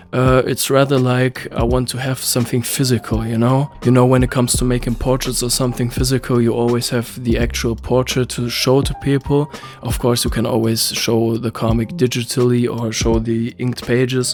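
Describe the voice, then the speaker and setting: With a non-native accent, a man at a medium pitch speaks at a fairly quick pace with hardly any pauses and monotone, flat intonation, with music in the background. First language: not English. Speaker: comic artist vlogger. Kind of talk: casual vlog talk. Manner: hesitant, many fillers.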